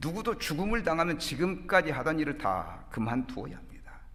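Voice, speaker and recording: A man speaks at a moderate pace with vocal fry. Room echo is audible. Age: 60s. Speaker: pastor. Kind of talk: sermon. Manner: formal.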